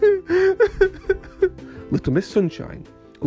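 Just an unforced reading voice.

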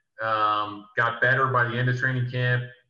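Audible room echo surrounds a man with an American accent speaking at a moderate pace. His medium-pitched tone is bright and sharp. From US Northeast (South Jersey, near Philadelphia). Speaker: former college basketball player, real estate developer. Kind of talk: casual interview.

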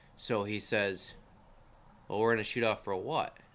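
A man's fairly low, plain, everyday voice at a moderate pace, on a very clean recording with a silent background. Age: 30s. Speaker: youth shooting coach. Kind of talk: casual chat. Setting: garage.

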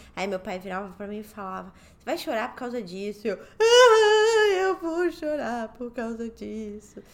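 A woman speaks at a fairly slow pace with an ordinary speaking voice. Her pitch is fairly high and her intonation is lively. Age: 30s. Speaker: podcast co-host. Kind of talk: casual chat.

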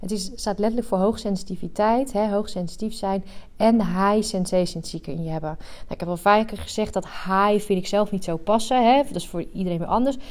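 Fairly quick woman's voice at a medium pitch with ordinary pitch variation. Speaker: coach for highly sensitive women. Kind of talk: solo podcast monologue. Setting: rented work room.

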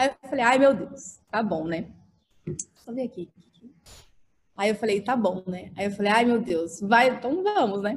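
A somewhat breathy woman speaks at a fairly slow pace with lively intonation and long, frequent pauses. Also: fairly high pitch for a woman. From Brazil, Mato Grosso do Sul (Dourados). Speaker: architect and social media influencer. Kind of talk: podcast interview. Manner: animated.

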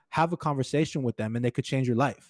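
A man with a slight Hawaiian accent, medium-pitched with ordinary pitch variation, in a very clean recording with a silent background and a dry, close sound free of echo. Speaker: sports event coordinator and podcast host. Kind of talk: interview conversation.

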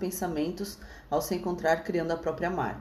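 A woman with a fairly low pitch speaks at a moderate pace in a monotone, flat intonation, with audible room echo and noticeable background noise. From Praia Grande, São Paulo coast, Brazil. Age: 30s. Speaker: podcast host, small business owner. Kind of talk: casual chat.

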